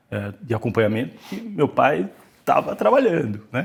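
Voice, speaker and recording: A man with vocal fry at a fairly slow pace. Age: 60s. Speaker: company CEO. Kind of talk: interview. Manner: hesitant, many fillers.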